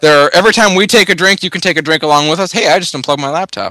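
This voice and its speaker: Speaking at a very fast pace in an American accent, a man with a fairly high pitch and a bright, sharp tone shows ordinary pitch variation. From Michigan. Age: 20s. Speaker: podcast host. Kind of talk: casual chat.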